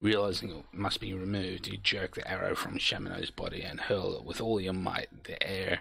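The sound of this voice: Unforced voice, reading aloud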